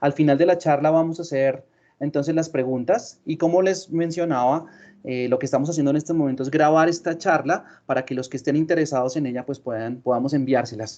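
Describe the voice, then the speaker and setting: A man with a Colombian accent speaks at a fairly quick pace in a dark, mellow tone, his fairly high pitch showing ordinary variation. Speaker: sales manager. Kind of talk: webinar presentation.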